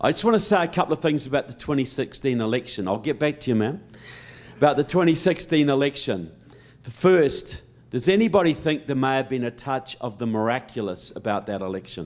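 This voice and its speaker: A man with a New Zealand accent, fairly high in pitch, fairly quick, with very wide pitch swings. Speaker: political speaker. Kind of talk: public speech. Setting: stage with audience.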